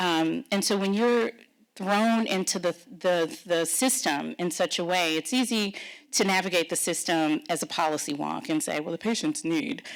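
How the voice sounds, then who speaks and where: A woman with an American accent at a moderate pace, medium pitch and lively intonation, on a very clean recording with a silent background. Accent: Texan, comes out sometimes. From Texas. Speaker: pharma policy executive. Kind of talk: fireside chat interview.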